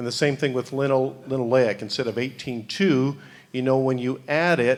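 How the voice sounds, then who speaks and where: With an American accent, a plain, everyday voice speaks at a moderate pace with fairly even intonation. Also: man, medium pitch for a man. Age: 60s. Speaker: animal nutrition scientist. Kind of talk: conference Q&A answers. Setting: conference panel.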